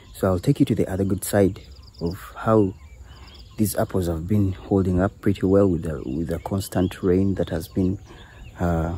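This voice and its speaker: With a Ugandan accent, a man speaks at a very deep, low pitch in a dark, mellow, somewhat breathy tone. His pace is moderate and his pitch variation ordinary. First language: Luganda. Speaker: apple farmer and video creator. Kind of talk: casual farm walkthrough vlog. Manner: hesitant, with fillers and repeats.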